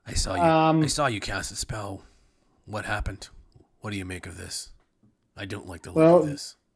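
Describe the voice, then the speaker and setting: A man's put-on character voice, raspy and fairly low-pitched, with very wide pitch swings, a moderate pace and long, frequent pauses. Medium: actual play. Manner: gruff, wary.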